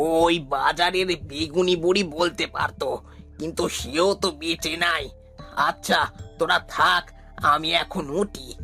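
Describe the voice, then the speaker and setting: Over clear music in the background, a man puts on a high-pitched cartoonish character voice at a fairly slow pace. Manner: warm, grave.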